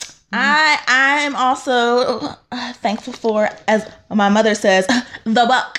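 A woman's very slow speech in an American accent, high-pitched with ordinary pitch variation. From North Carolina, US. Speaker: podcast host. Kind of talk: casual chat.

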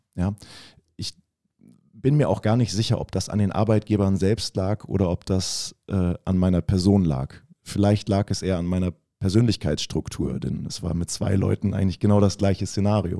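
A man's fairly low, dark, mellow voice at a moderate pace with ordinary pitch variation, in a very clean recording with a silent background. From northern Germany, Oldenburg. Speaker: physiotherapist. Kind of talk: casual interview.

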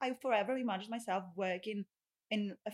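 Recorded dry and close with no echo, a woman with a Greek accent speaks at a medium pitch with fairly even intonation. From Greece (Rhodes). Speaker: solicitor. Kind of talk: casual chat.

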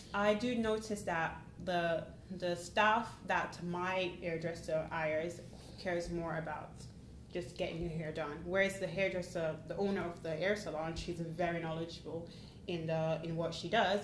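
A woman speaks with fairly even intonation and a fairly low pitch. Some room echo is audible in the recording. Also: moderate pace. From Jamaica, then Northampton, England. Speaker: IT service delivery analyst. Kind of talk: casual interview chat.

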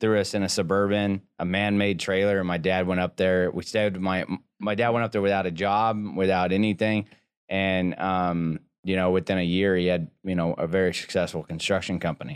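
A man's very deep, low voice, monotone and flat, at a moderate pace and very even loudness, on a very clean recording with a silent background. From Boise, Idaho, with South Texas family roots. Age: 30s. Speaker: entrepreneur and former rodeo cowboy. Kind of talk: casual interview. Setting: studio.

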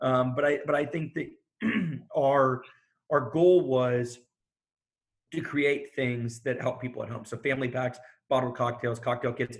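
At a fairly slow pace, a man with a medium-pitched, somewhat breathy voice keeps his intonation fairly even and stops often for long pauses. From Houston, Texas. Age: 30s. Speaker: bar and restaurant owner. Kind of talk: interview conversation.

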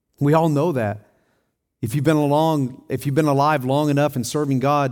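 A man talks at a medium speed, his intonation fairly even, in a very clean recording where the background is silent. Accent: Southern US. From Tennessee. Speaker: pastor. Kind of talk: sermon. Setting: church.

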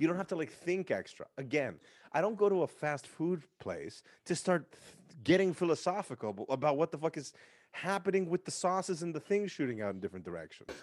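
Animated and with lively intonation, a man with an American accent and a high pitch talks at a fairly quick pace. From San Francisco, US West Coast. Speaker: music producer and DJ. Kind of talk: casual chat.

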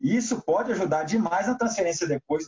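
A man speaks at a moderate pace, his voice moving through very wide pitch swings. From Minas Gerais, Brazil (Belo Horizonte). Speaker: basketball coach. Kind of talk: interview.

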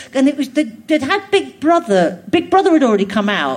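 Noticeable background noise sits under a woman's voice. She speaks at a fairly quick pace with very wide pitch swings. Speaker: comedian. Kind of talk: casual interview chat. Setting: stage with audience, live theatre.

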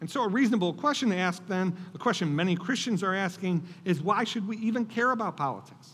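A man's high-pitched voice at a very fast pace, with hardly any pauses and ordinary pitch variation. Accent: American. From Buffalo, New York, US. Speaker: political strategist and author. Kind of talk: speech to church audience. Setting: church stage with audience.

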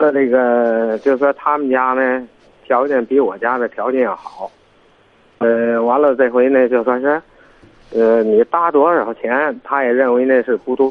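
A man with an ordinary speaking voice talks at a fairly slow pace, his pitch medium and his intonation fairly even. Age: 50s. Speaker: caller seeking family advice. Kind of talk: phone-in call.

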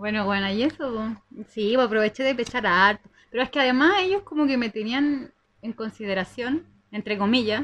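A woman with a normal speaking voice talks at a moderate pace and a fairly high pitch, using ordinary pitch variation. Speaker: podcast co-host. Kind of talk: casual chat.

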